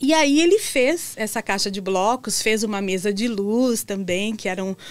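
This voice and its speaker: This is a woman with a medium-pitched voice. She speaks at a fairly slow pace. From southern Brazil (Santa Catarina). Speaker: educator and furniture workshop founder. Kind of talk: interview. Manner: hesitant fillers. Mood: warm, cheerful storytelling. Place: studio. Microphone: studio mic.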